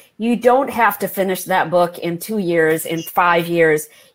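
In an ordinary speaking voice, a woman with an American accent talks at a fairly slow pace. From India, raised in the US. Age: 50s. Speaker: historical fiction novelist. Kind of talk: interview.

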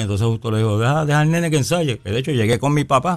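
Very fast pace from a male speaker, ordinary pitch variation throughout. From Puerto Rico. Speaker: bass player. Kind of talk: interview. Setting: radio studio.

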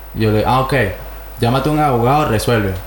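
Speaking at a very fast pace in a Caracas accent, the voice keeps a fairly even intonation over noticeable background noise. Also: man. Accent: Venezuelan Spanish (Caracas). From Venezuela (Caracas). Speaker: podcast co-host. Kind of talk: casual chat.

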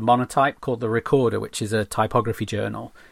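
A man with a normal speaking voice, medium in pitch and moderate in pace, on a very clean recording with a silent background. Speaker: graphic designer. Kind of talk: casual interview.

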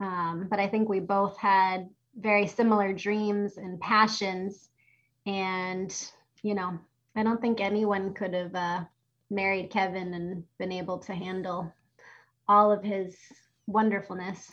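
Long, frequent pauses from a woman at medium pitch, with monotone, flat intonation and a fairly slow pace. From Boston. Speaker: pastor. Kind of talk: interview.

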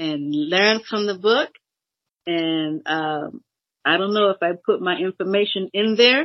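A woman with an American accent and an ordinary speaking voice talks at a fairly slow pace. Her pitch is medium and her intonation lively. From Boston, Massachusetts. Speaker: minister's widow and author. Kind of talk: interview.

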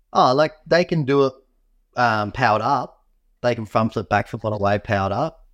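In a plain, everyday voice, a man speaks at a fairly quick pace and medium pitch with ordinary pitch variation, the sound dry and close with no echo against a quiet background. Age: 30s. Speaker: pro wing foil competitor. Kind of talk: casual chat. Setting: video call from home.

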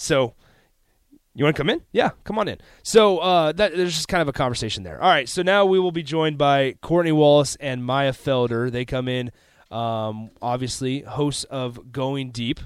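A man's normal speaking voice with lively intonation at a moderate pace, in a very clean recording with a silent background. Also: fairly high pitch for a man. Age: 20s. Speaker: sports radio host. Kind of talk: sports talk radio. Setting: radio studio.

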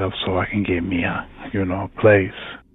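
Speaking at a moderate pace, a man is heard over noticeable background noise. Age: 30s. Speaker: culinary school graduate. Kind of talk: personal testimony.

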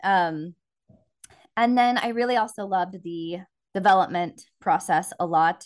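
In an American accent, a normal speaking voice with ordinary pitch variation comes through against a quiet background. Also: woman. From small-town Texas. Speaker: film producer. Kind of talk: casual interview.

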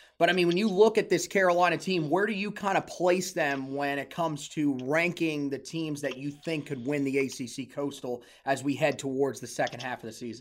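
A man with a normal speaking voice talks at a fairly quick pace with hardly any pauses, his pitch fairly high with ordinary variation. The recording is very clean with a silent background. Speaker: podcast interviewer. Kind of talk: interview.

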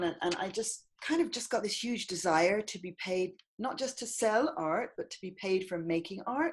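Against a quiet background, a woman speaks at a medium pitch with an Irish accent. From Ireland, countryside. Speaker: poet and artist. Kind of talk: casual interview chat.

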